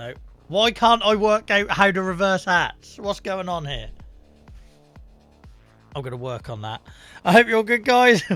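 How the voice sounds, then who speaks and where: A raised, projected voice with big swings in loudness and long, frequent pauses, at a moderate pace over background music. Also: man, high pitch for a man. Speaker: game streamer. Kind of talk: casual live-stream talk to viewers. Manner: lively, chatty.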